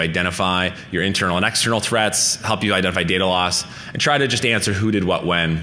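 With a very deep, low pitch, a man speaks at a fairly quick pace using fairly even intonation. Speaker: conference speaker. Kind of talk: lecture. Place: hall.

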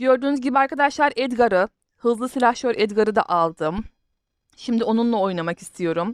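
A woman's lively intonation at a fairly quick pace, dry and close with no echo. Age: 30s. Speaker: gaming YouTuber. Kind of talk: gameplay commentary. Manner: halting.

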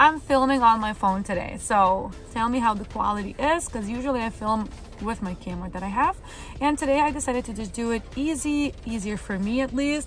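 A woman talks at a fairly quick pace with ordinary pitch variation. The sound is dry with no echo, and faint music plays in the background. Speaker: vlogger. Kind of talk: casual vlog chat. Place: car. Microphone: phone near.

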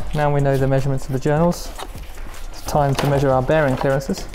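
Music plays in the background. A man speaks over it with fairly even intonation. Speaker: presenter. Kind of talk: tutorial. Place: workshop.

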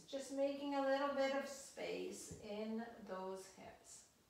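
Heard in strong room echo, a woman talks at a very slow pace with ordinary pitch variation. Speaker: exercise instructor. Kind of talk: guided exercise instruction. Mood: calm, gentle, encouraging. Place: home room. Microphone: camera far.

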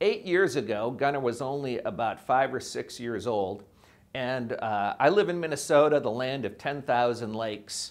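A man's lively intonation carries his moderate-paced speech. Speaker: preacher, professor. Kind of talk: sermon. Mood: warm storytelling. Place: studio. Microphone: lapel.

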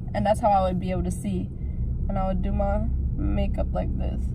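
The voice moves at a fairly quick pace with ordinary pitch variation. The sound is dry with no echo, set against loud background noise. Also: woman. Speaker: vlogger. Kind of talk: casual vlog chat. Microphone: phone near.

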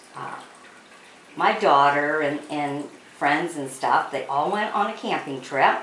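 Taking long, frequent pauses at a fairly slow pace, a woman speaks at a very deep, low pitch with ordinary pitch variation over noticeable background noise. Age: 50s. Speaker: cake decorating vlogger. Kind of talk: tutorial. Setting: home kitchen. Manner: casual, chatty.

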